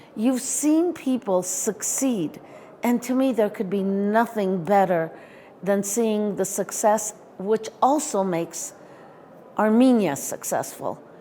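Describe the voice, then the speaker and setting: At a fairly slow pace, a woman talks at medium pitch in a normal speaking voice. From California, US (moved from Iran at nine). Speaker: education consultant. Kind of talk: interview.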